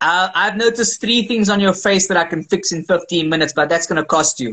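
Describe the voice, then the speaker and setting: A man's raised, projected voice, high in pitch and bright and sharp in tone, at a very fast pace with ordinary pitch variation. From South Africa, Cape Town. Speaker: actor and voice coach. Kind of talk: interview. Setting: live video stream.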